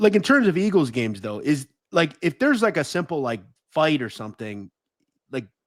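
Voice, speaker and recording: A man speaks at a fairly quick pace with vocal fry. His pitch is fairly high and swings very widely. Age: 30s. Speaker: podcast host. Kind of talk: interview.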